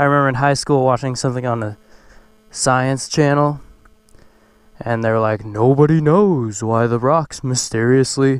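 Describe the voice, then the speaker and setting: A man is heard against a quiet background in a dry sound with no echo. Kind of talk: casual vlog chat. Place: open country. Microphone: helmet.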